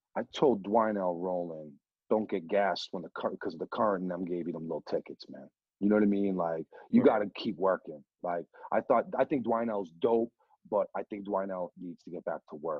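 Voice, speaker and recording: Speaking with a Boston accent, a man of fairly low pitch moves at a fairly quick pace, with ordinary pitch variation and big swings in loudness. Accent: Boston area. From New Hampshire. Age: 40s. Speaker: radio DJ. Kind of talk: casual chat. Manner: animated.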